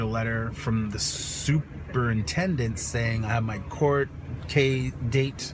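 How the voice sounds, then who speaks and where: The sound of this man's voice is dry with no echo, though noticeable background noise comes through. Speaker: vlogger. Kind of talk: casual vlog chat, storytelling. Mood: exasperated, animated storytelling. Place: car. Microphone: phone near.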